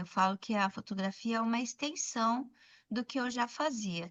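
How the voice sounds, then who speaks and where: A woman talks in a plain, everyday voice. Her pace is fairly slow and her pitch variation ordinary. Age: 60s. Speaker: documentary photographer, former educator. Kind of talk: podcast interview.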